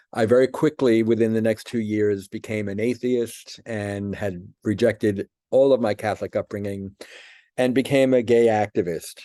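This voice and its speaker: With an American accent, a man talks at a moderate pace in a fairly low, dark and mellow tone with fairly even intonation, recorded dry and close with no echo against a quiet background. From New York City, Brooklyn. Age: 70s. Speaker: person giving religious testimony. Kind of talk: testimony.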